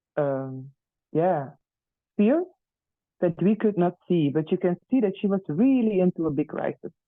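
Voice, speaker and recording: The speaker has a Flemish accent and talks at a moderate pace. The pauses are long and frequent. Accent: Flemish Dutch accent in English. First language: Dutch. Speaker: teacher. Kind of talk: testimony. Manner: halting, many fillers.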